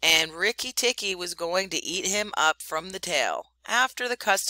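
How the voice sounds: Lively intonation stands out here. It comes in a natural reading voice.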